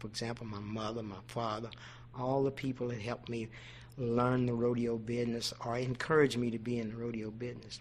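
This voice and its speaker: With an American accent, a man speaks at a medium pitch. His intonation is monotone and flat. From Oklahoma. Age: 70s. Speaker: rodeo producer. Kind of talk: interview. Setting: radio show.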